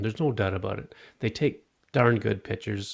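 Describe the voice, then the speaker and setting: With a Canadian accent, a man of medium pitch speaks at a moderate pace, his intonation lively and his voice carrying vocal fry. The recording is very clean, with a silent background. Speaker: podcast host reviewing tech. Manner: casual, hesitant, many filler words.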